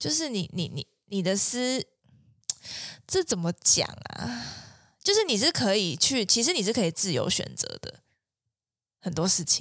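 Using very wide pitch swings, a woman of medium pitch speaks at a fairly slow pace with long, frequent pauses. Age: 20s. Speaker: clinical psychologist. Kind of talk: casual chat.

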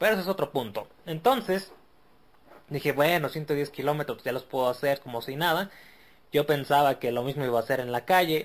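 Fairly high for a man and with ordinary pitch variation, his is an ordinary speaking voice delivered at a fairly quick pace. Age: 40s. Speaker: podcast host. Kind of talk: casual monologue.

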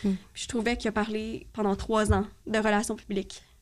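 In a Quebec accent, the speaker holds a fairly even intonation on a very clean recording with a silent background. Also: woman. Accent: Québécois French. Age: 20s. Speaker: podcast guest with ADHD. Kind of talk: casual chat.

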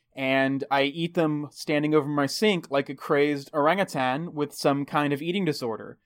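A man with an American accent speaks in an ordinary speaking voice at a fairly high pitch and moderate pace. His intonation is fairly even, his loudness very even, and he hardly pauses. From Texas. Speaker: podcast host. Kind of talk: casual chat.

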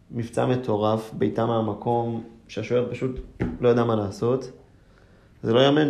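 Audible room echo surrounds a man speaking at a moderate pace. His medium-pitched voice keeps a fairly even intonation. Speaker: football fan, engineering student. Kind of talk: casual chat.

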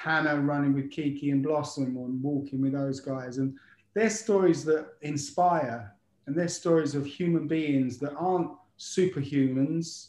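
A man with an unremarkable speaking voice talks at a fairly slow pace with a fairly high pitch and ordinary pitch variation. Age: 50s. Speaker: daily runner doing a decade-long running challenge. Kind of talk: casual chat. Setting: video call.

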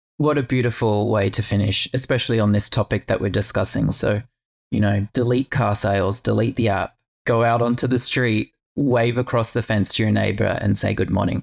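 Speaking at a fairly quick pace, a man with a fairly low pitch and vocal fry keeps his intonation fairly even and his loudness very even. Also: dry, close sound with no echo. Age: 40s. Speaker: podcast host and yoga teacher. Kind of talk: casual interview chat.

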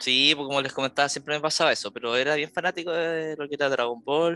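Fairly even intonation runs over music playing in the background. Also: man. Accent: Chilean. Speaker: podcast co-host. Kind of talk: casual chat.

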